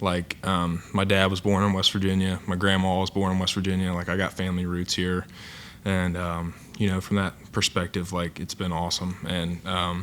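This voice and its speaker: The speaker has an Appalachian accent, a flat monotone intonation and a moderate pace. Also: man, very deep, low pitch for a man. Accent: Appalachian accent, noticeable. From southern Ohio, Appalachian area near Ironton. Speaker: college football player. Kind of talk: press conference interview. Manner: hesitant, many filler words.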